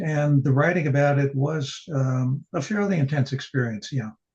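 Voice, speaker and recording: Somewhat breathy and fairly high-pitched, a man with an American accent speaks at a moderate pace with ordinary pitch variation. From New York City (the Bronx). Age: 80s+. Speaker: poet and novelist. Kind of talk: interview conversation. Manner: halting.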